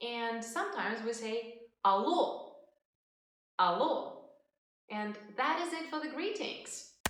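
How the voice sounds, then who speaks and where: In a Russian accent, a woman speaks very slowly at a fairly high pitch, her voice swinging very widely in pitch, with long, frequent pauses and audible room echo. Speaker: language teacher. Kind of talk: tutorial.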